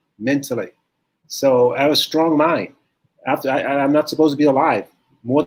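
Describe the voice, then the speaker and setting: The man's voice has a fairly high pitch. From US Midwest, St. Louis. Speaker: professional bodybuilder. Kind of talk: interview. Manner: soft-spoken.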